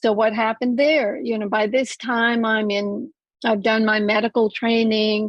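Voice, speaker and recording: Her pitch is fairly high for a woman. She speaks at a fairly slow pace with monotone, flat intonation. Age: 70s. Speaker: medical doctor and naturopath. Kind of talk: interview.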